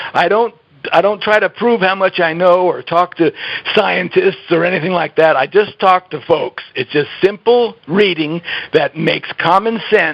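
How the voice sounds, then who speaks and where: Fairly slow speech with noticeable background noise. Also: man. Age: 70s. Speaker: health author. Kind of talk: interview.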